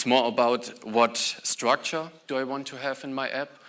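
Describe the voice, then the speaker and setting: A man at a moderate pace and medium pitch. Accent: German. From Germany. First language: German. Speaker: software engineer, conference speaker. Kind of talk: conference talk.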